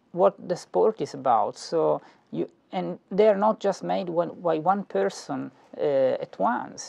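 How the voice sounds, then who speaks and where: A man with an Italian accent at a fairly slow pace, the sound dry and close with no echo. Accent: Italian inflection. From Italy. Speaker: philosophy professor. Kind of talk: lecture. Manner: halting, many fillers and repetitions.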